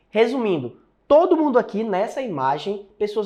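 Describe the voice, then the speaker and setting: A man talks at a moderate pace in an animated tone. His intonation is lively. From Fortaleza, Ceará, northeastern Brazil. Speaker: programming teacher. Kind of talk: online course lecture / sales webinar.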